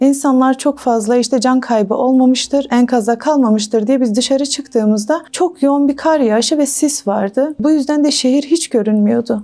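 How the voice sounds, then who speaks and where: Her voice is high-pitched. Noticeable background noise runs behind this woman. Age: 30s. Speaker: volunteer corpse washer, earthquake witness. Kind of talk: testimony. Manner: halting, with frequent fillers.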